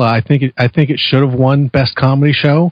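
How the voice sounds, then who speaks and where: A somewhat breathy man with an American accent at a fairly quick pace. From California. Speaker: podcast co-host. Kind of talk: casual chat.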